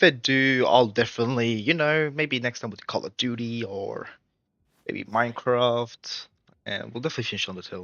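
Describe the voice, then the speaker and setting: A man with an Australian accent, lively intonation and a fairly quick pace. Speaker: gaming streamer. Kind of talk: casual live stream chat.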